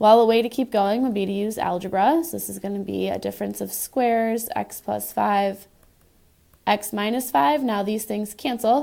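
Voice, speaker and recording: Her voice has a medium pitch and a dark, mellow tone. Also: ordinary pitch variation, moderate pace. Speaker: math teacher. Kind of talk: tutorial.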